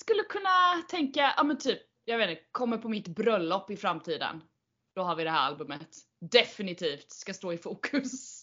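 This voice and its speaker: A woman with a fairly high pitch speaks at a moderate pace in an animated tone, her pitch swinging very widely. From Sweden, Kalmar. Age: 30s. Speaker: podcast host. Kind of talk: casual chat.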